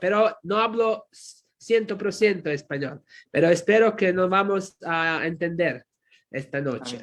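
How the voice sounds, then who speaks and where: With a Croatian accent, the speaker talks at a fairly slow pace with ordinary pitch variation. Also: man. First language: Croatian (speaking Spanish). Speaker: pastor and theology professor. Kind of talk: sermon. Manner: halting.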